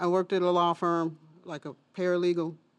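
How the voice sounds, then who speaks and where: At a moderate pace, a woman with an American accent talks in a normal speaking voice, pitched fairly low. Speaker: food bank intake specialist. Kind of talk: casual chat.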